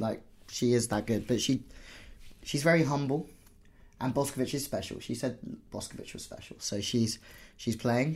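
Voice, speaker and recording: A man with a somewhat breathy voice at medium pitch talks at a moderate pace with ordinary pitch variation and long, frequent pauses. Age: 30s. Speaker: podcast host and volleyball coach. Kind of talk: casual chat.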